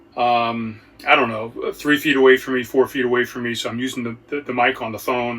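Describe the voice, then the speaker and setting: Over noticeable background noise, a man talks at a fairly quick pace. His medium-pitched delivery stays monotone and flat. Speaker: podcast host. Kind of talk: casual solo podcast talk.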